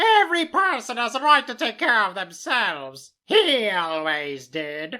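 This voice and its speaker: A put-on character voice at a fairly high pitch swings very widely in pitch, with hardly any pauses. The pace is moderate, and the recording is very clean with a silent background. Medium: read story. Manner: bold, defiant.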